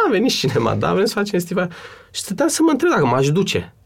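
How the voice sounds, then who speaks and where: A man's voice with very wide swings in pitch. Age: 30s. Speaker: actor and cultural manager. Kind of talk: interview. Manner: hesitant.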